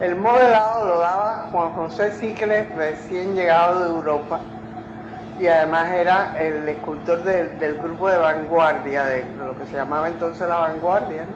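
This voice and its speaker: A woman talks at a fairly slow pace in a fairly low pitch with ordinary pitch variation. Audible room echo and noticeable background noise surround her. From Cuba. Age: 80s+. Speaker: sculptor. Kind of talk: interview reminiscence.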